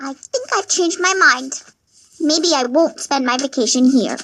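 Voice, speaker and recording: A put-on character voice is used here. It sits high in pitch and moves at a moderate pace. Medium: machinima. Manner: chatty, upbeat.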